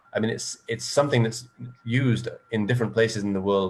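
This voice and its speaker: Speaking very fast with an English accent, a man holds a medium pitch in a monotone, flat intonation. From England. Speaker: panelist on environmental issues. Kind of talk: panel discussion. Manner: halting, many false starts.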